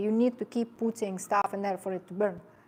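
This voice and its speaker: A woman with a non-native accent speaks at a fairly quick pace and a fairly high pitch in a very clean recording with a silent background. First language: not English. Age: 50s. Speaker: personal trainer and sports nutritionist. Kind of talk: seminar talk. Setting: seminar with live audience. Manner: animated.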